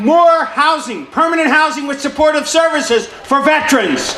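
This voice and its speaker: Noticeable background noise surrounds a man with an extremely high pitch. His raised, projected voice moves at a moderate pace. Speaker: city councilman giving a speech. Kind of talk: public speech at a veterans celebration. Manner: commanding, energetic.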